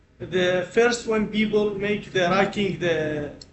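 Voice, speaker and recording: A man speaks in a high voice with flat, monotone intonation, with audible room echo and noticeable background noise. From Iraq. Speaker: postgraduate student and NGO environmental worker. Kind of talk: casual conversation. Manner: halting, broken English.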